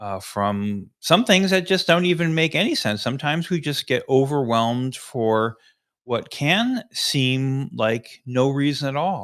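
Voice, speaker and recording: A man with a fairly high pitch speaks at a fairly slow pace in a relaxed tone with lively intonation. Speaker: life coach and live stream host. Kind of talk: guided tapping tutorial on live stream. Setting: live stream. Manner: slower, relaxed pace.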